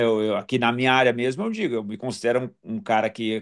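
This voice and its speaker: Against a quiet background, a man speaks at a medium pitch in an ordinary speaking voice. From southern Brazil, Porto Alegre. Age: 60s. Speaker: dental surgeon and professor. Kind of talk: casual interview chat.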